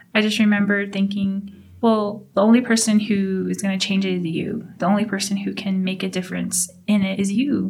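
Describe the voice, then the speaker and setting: Somewhat breathy and of medium pitch, a woman with an American accent speaks at a moderate pace in monotone, flat intonation with hardly any pauses. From Navajo, US Southwest. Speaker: oral history interviewee. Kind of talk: personal testimony.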